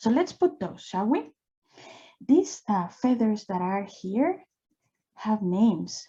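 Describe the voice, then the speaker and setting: Over a quiet background, a woman with a non-native accent speaks at a very slow pace and a fairly high pitch, her dark, mellow tone somewhat breathy and her intonation lively. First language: not English. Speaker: drawing instructor. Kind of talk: live drawing tutorial. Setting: live online session. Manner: casual and encouraging.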